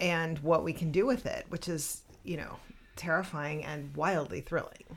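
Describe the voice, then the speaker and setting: A woman with a fairly low pitch talks in a plain, everyday voice. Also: ordinary pitch variation, moderate pace. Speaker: podcast co-host and writing teacher. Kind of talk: casual chat.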